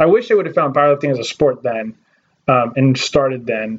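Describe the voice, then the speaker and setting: This is a man with an ordinary speaking voice. His pitch is fairly high and his pace fairly quick. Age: 20s. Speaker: podcast host. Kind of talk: casual interview chat.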